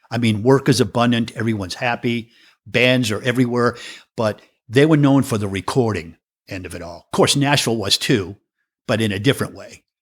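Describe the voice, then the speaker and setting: On a very clean recording with a silent background, a man with a slight New England accent speaks at medium pitch with ordinary pitch variation and big swings in loudness. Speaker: professional drummer. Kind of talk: interview conversation.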